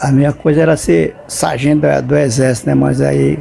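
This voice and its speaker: Music in the background under a man talking at a moderate pace. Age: 80s+. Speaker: elderly interviewee. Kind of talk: interview. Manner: halting.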